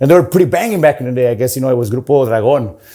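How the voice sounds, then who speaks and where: A dark, mellow tone with lively intonation. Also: man. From California, Santa Maria. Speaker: singer and musician. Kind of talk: interview. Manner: casual, filler-heavy.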